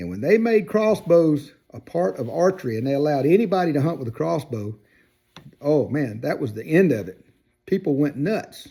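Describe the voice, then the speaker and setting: A man with a Southern US accent speaks at a moderate pace in a fairly high, dark and mellow voice. His pitch swings very widely, his loudness varies greatly, and the recording is very clean with a silent background. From US South, Georgia. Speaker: outdoors video creator. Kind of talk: casual opinion monologue. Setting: workshop. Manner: hesitant with fillers and repeats.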